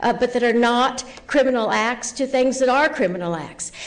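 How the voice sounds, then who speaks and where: Heard with audible room echo, a woman talks at a moderate pace in a high pitch. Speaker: professor. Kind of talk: conference presentation.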